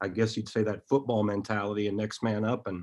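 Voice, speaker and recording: Speaking with an American accent at a fairly quick pace, a man uses a fairly low pitch and a monotone, flat intonation. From Iowa. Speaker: college basketball coach. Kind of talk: interview.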